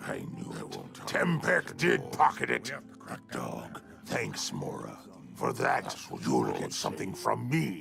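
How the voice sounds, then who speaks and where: A man performs a put-on character voice at a fairly slow pace, with long, frequent pauses. Clear music plays in the background. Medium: video game. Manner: blunt.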